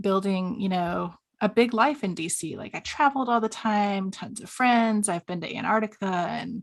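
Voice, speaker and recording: With an American accent, a woman talks at a medium pitch with ordinary pitch variation against a quiet background. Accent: slight Southern, comes out occasionally. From US South. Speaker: stepparent coach. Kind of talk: interview.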